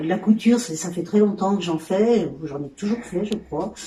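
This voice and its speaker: This woman speaks at a medium pitch. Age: 60s. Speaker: sewing trainee. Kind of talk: testimony. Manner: halting.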